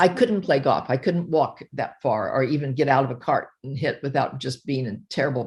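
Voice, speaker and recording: Against a quiet background, a woman with a very deep, low pitch and a somewhat breathy voice talks at a moderate pace with ordinary pitch variation. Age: 80s+. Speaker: retired behavioral psychologist, diet success story. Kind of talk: interview testimony. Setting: video call. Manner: halting.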